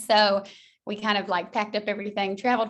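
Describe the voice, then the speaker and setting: With a slight Southern US accent, a woman at a medium pitch races along at a very fast pace in monotone, flat intonation over a quiet background. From US South, Georgia. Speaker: school counselor. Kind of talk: interview.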